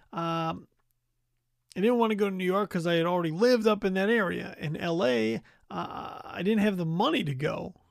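On a very clean recording with a silent background, a man with a high pitch and lively intonation talks at a moderate pace. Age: 40s. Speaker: podcast host. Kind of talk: reflective solo monologue. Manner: halting, many fillers.

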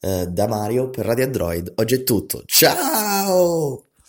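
Very wide pitch swings run through a man's voice. The recording is very clean, and the background is silent. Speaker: radio interviewer. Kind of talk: radio interview.

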